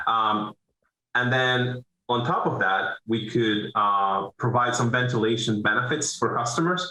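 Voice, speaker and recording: Medium pitch from a man with a Venezuelan accent. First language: Spanish. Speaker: business owner, roofing contractor. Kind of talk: interview. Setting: video call.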